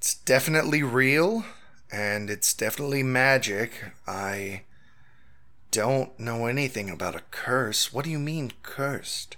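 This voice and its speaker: A raspy, put-on character voice from a man at medium pitch, with ordinary pitch variation and a moderate pace. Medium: actual play. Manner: authoritative, measured.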